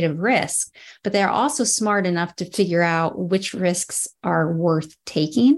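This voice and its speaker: At a fairly slow pace, a woman speaks in a normal speaking voice with lively intonation. Her pitch is medium, and the background is quiet. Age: 40s. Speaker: podcast host. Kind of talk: interview conversation. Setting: video call.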